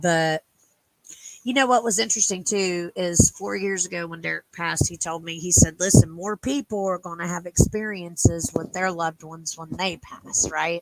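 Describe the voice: A woman speaks at a moderate pace with fairly even intonation and a fairly low pitch. The sound is dry and close, with no echo.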